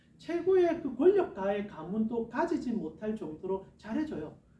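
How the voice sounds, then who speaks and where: A man's dark, mellow voice swings very widely in pitch. He speaks at a moderate pace with audible room echo. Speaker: pastor. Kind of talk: sermon.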